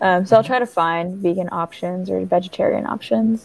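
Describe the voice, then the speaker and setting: A plain, everyday voice from a woman at medium pitch, with ordinary pitch variation. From small-town US, half Mexican. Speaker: singer-songwriter. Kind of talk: interview.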